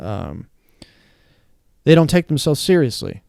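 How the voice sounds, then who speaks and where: A man mumbles quietly at a fairly quick pace in a dark, mellow tone. The sound is dry and close, without echo. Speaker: stand-up comedian. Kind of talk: casual chat. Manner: mumbly.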